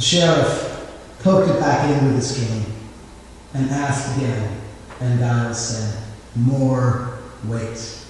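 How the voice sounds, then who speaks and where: Against noticeable background noise, a man of medium pitch speaks at a very slow pace with long, frequent pauses and ordinary pitch variation. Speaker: preacher. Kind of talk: sermon. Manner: extemporaneous.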